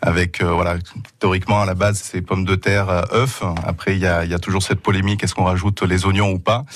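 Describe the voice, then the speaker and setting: A man with a very deep, low pitch talks very fast in a monotone, flat intonation. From Asturias, northern Spain. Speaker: restaurateur. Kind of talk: radio interview.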